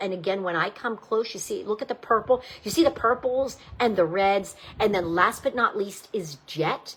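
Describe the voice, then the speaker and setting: A woman's medium-pitched voice with an American accent, animated in tone, with ordinary pitch variation. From Pittsburgh, Pennsylvania. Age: 60s. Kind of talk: live sales presentation. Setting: live video stream.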